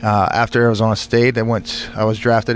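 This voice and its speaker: A man's flat, monotone voice at a medium pitch, in a Californian accent, over noticeable background noise. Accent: Californian American. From California, Bakersfield. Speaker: war veteran and former football player. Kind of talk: radio interview. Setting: studio.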